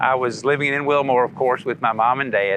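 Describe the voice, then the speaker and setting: Speaking with an American accent, a man has a bright, sharp tone, a fairly quick pace and ordinary pitch variation. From US, Kentucky. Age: 70s. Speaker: storyteller. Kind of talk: personal life story. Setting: outdoors, golf course by the sea.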